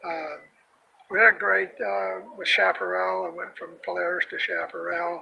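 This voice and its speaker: A man at a moderate pace, big swings in loudness, noticeable background noise. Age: 70s. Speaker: retired snowmobile racer. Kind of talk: interview. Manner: halting, many fillers.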